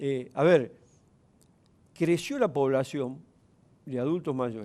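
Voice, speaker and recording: A man speaks at a very slow pace in a fairly high pitch, his tone dark and mellow, with ordinary pitch variation. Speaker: provincial legislator. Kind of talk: TV interview.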